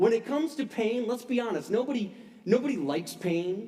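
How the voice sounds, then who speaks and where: A man talks with lively intonation. Behind him, music plays. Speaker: pastor. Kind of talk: sermon. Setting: church service.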